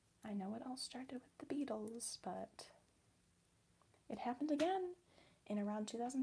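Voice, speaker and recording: A woman with an American accent, somewhat breathy, in a dark, mellow tone. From US Midwest. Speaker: ASMR livestreamer. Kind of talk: casual livestream chat while crafting. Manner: animated.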